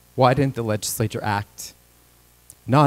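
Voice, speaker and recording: Recorded very clean, dry and close with a silent background and no echo, a man speaks at a moderate pace with fairly even intonation. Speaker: state legislator. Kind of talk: legislative floor questioning. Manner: shaking voice.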